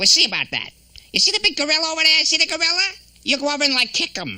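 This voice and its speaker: A cartoonish character voice rattles along at a very fast pace and a high pitch. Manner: wisecracking, needling.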